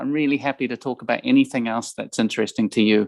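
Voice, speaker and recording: A man with a New Zealand accent is heard in a dry, close sound with no echo. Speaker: ambassador. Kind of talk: guest talk to students. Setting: video call. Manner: hesitant with fillers and repetitions.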